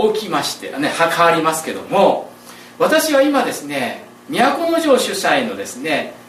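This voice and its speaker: A man talks at a fairly slow pace in an extremely high pitch, with very wide pitch swings, big swings in loudness, audible room echo and noticeable background noise. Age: 40s. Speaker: pastor. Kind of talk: sermon. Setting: church.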